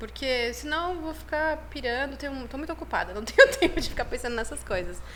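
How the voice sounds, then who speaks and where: Audible room echo surrounds a woman as she speaks at a fairly quick pace. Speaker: chiropractic professor and university program head. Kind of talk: podcast interview, casual chat.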